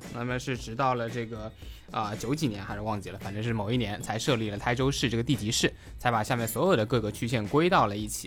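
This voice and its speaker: Vocal fry runs through a man's voice, which shows ordinary pitch variation. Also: medium pitch for a man. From Taizhou, Zhejiang, China. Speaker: guest sharing local food and culture. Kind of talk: casual podcast conversation.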